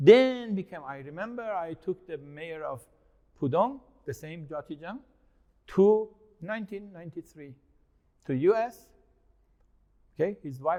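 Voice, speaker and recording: A man's loudness swings widely. He leaves long, frequent pauses. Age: 60s. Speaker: investment consultant and speaker on China. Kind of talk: interview. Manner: animated.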